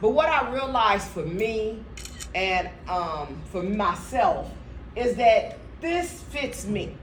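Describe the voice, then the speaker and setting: Amid audible room echo and noticeable background noise, a woman with a fairly high voice speaks at a very slow pace with very wide pitch swings. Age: 60s. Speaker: motivational speaker. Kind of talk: motivational talk. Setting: stage with audience. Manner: animated.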